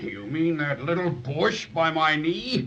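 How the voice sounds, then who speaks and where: A put-on character voice delivers lines at a fairly slow pace over clear background noise. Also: man, fairly high pitch for a man. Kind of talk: 1930s children's radio acting. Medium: old radio play. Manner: gentle, warm, slightly hesitant.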